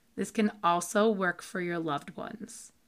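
Over a silent background in a very clean recording, a woman speaks at medium pitch with ordinary pitch variation in a plain, everyday voice. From US Massachusetts. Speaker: podcast host and meditation guide. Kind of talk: guided meditation. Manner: calm, slow, soothing and instructive.

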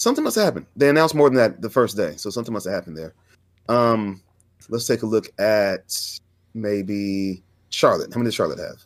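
A plain, everyday voice, from a man with an American accent at medium pitch. He talks fairly quickly with ordinary pitch variation, on a very clean recording with a silent background. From Fresno, California. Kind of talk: casual chat.

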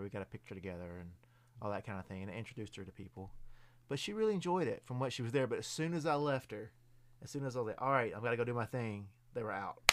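In a Southern US accent, a man talks at a very fast pace with a medium pitch and ordinary pitch variation. The recording is very clean, with a silent background. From Middle Tennessee, US South. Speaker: haunted attraction performer. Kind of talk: casual chat. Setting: studio. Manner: halting.

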